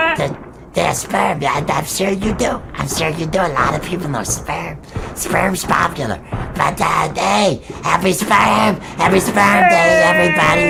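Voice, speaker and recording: A cartoonish character voice speaks at a middle pitch and a moderate pace. Clear background noise runs underneath. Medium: puppet show. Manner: rambling, repetitive, stammering.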